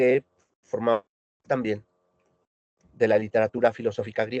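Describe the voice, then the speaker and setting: At a moderate pace, a man speaks in a monotone with flat intonation, recorded with a dry, close sound and no echo. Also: medium pitch for a man. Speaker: philosophy lecturer. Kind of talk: lecture.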